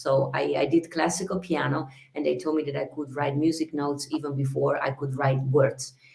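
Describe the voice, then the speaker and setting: With an Italian accent, a woman talks at a fairly quick pace in a very deep, low pitch. Her intonation is fairly even over noticeable background noise. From Italy, Venice. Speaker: singer. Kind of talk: interview. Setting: video call from her bedroom.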